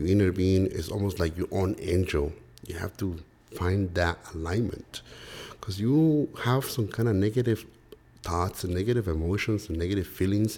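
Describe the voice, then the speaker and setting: The tone is dark and mellow, somewhat breathy. The speaker has a Spanish accent. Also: man, very deep, low pitch for a man, ordinary pitch variation, moderate pace. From Mexico. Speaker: real estate investor. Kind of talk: interview.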